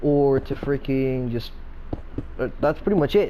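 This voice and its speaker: Over noticeable background noise and audible room echo, a man speaks at a fairly slow pace in a medium pitch. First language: not English. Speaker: gaming YouTuber. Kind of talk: gameplay commentary. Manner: halting, stuttering; casual, filler-heavy.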